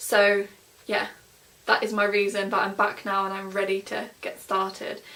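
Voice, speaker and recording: A woman with an East Midlands accent speaks at a medium pitch. Her pace is fairly slow. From England, Nottingham. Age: 20s. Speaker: vlogger. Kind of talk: casual vlog. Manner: filler-heavy, chatty.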